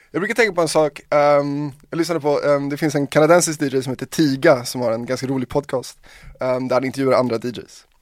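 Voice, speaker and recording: In a plain, everyday voice, a man talks at a fairly quick pace in a fairly high pitch with ordinary pitch variation, on a very clean recording with a silent background. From Sweden, Hungarian parents. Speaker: DJ and producer. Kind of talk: casual chat.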